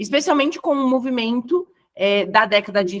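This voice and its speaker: With a Brazilian accent, a woman speaks in a high voice at a fairly slow pace. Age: 30s. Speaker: educator. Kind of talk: lecture.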